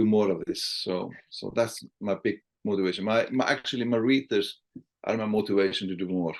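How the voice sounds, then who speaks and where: Someone speaks at a moderate pace with an Icelandic accent. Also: man. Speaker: sales trainer and author. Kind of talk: podcast interview. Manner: halting, repeats words.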